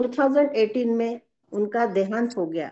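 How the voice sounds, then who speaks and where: With a Marathi accent, a woman speaks at a fairly high pitch. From Maharashtra (Brahmapuri area, Vidarbha). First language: Marathi (speaking Hindi). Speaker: webinar participant, company member. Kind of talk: prepared talk at online webinar. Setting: online webinar. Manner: halting, with fillers.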